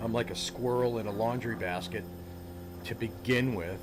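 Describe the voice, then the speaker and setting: Against noticeable background noise and audible room echo, a man speaks at a fairly slow pace with ordinary pitch variation. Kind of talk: gameplay commentary. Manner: casual, halting with fillers.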